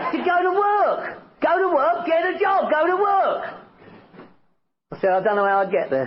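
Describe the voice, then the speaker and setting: A man with a London accent speaks at a moderate pace, his loudness very even throughout. Long pauses come often, and the room echo is audible. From northwest London. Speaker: recovery speaker. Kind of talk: testimony. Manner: animated.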